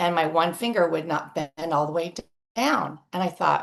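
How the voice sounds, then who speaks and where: A woman speaks with a normal speaking voice at a fairly low pitch. Her pace is moderate, and the background is quiet. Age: 60s. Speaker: flight attendant sharing health testimony. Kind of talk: testimony.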